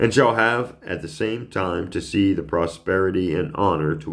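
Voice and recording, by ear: Someone reads aloud in a natural voice, and the pitch moves in an ordinary way.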